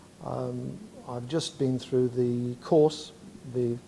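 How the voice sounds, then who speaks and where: With an East Midlands accent, a man speaks at a medium pitch with fairly even intonation. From Derby, England. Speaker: kidney patient. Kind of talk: testimony.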